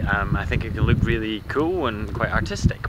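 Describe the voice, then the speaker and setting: Against loud background noise, a man speaks with an Edinburgh accent in a dry sound with no echo. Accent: Scottish (Edinburgh). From Scotland. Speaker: vlogger. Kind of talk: casual vlog. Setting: outdoors. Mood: earnest, impassioned.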